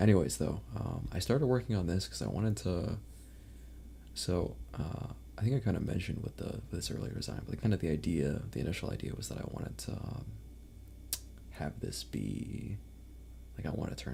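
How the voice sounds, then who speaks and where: Against audible room echo, a man with a very deep, low pitch and a dark, mellow tone speaks at a fairly quick pace, with vocal fry and very wide pitch swings. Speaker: vtuber streamer. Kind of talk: casual live stream chat. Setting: live stream. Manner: rambling, filler-heavy.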